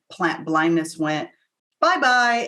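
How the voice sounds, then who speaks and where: In an American accent, a woman with an unremarkable speaking voice talks at a fairly slow pace and a fairly low pitch. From US (Cuban American). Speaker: plant intelligence mentor and music engineer. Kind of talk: interview. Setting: online summit interview.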